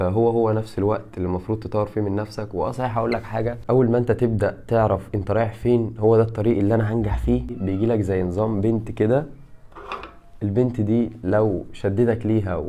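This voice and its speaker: The speaker talks at a fairly quick pace with an Egyptian accent. Noticeable background noise runs underneath. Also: man, fairly low pitch for a man. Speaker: YouTuber and fitness content creator. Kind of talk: casual vlog monologue. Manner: animated.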